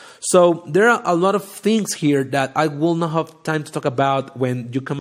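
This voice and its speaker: With a strong non-native accent, a man speaks in lively intonation. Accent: thick non-native English. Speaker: data science podcast host. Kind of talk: live educational talk. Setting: livestream, audio only. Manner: halting, many fillers.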